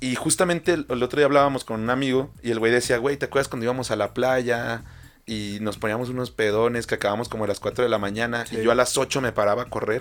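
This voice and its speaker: A man's voice at medium pitch, at a fairly quick pace. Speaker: podcast co-host. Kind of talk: casual chat. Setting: studio.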